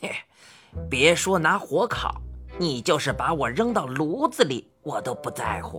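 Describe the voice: Over faint background music, a woman uses a put-on character voice at a low pitch, fairly slow, with big pitch swings, a fairly bright tone and a husky, rough edge.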